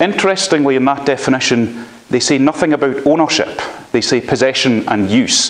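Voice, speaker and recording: A man with a strong Scottish accent, medium pitch, ordinary pitch variation, very even loudness and a fairly quick pace, against noticeable background noise. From Scotland. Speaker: law lecturer. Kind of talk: lecture. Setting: university library, live stream.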